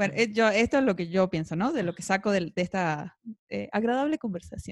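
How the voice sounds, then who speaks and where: An ordinary speaking voice from a woman at medium pitch, with lively intonation, a moderate pace, a quiet background, and a dry, close sound with no echo. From Argentina. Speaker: podcast co-host. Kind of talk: casual chat. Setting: studio.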